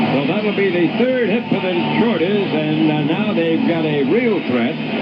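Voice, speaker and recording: With music in the background, a high-pitched man speaks at a fairly slow pace, his intonation lively and his loudness very even. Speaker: baseball radio play-by-play announcer. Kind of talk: live baseball play-by-play commentary.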